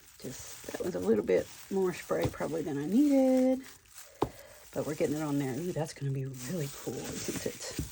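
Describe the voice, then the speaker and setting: Through noticeable background noise, a woman with a very deep, low pitch speaks at a fairly quick pace with very wide pitch swings. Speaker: crafting video creator. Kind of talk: crafting tutorial. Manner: animated.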